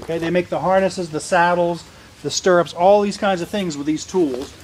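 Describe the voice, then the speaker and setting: A man talks at a fairly quick pace in a high pitch, with fairly even intonation. Noticeable background noise runs under his voice. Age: 50s. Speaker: museum tour guide. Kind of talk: guided tour for school children. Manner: loud.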